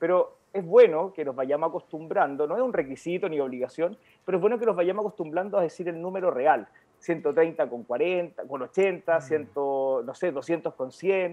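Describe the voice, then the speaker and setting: This man's voice is high in pitch, varies in an ordinary way, and moves at a moderate pace. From Chile, Maule region (Linares). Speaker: medical doctor. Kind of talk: health talk show interview, explanatory. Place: home room. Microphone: video call.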